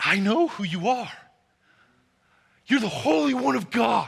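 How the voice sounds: A man uses a put-on character voice at a high pitch. His pitch swings very widely at a moderate pace.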